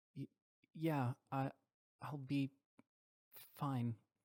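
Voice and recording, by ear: A shaky, put-on character voice sits at a low-to-middle pitch.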